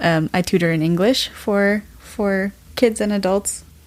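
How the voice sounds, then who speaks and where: A woman uses an ordinary speaking voice with fairly even intonation. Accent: General American. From US, Washington DC area. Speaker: graduate student. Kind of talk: casual chat.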